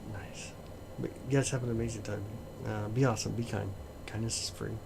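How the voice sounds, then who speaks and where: A man mumbling fairly quickly at a fairly low pitch, fairly even in intonation, with audible room echo and noticeable background noise. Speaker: astronomy livestreamer. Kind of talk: casual live stream chat.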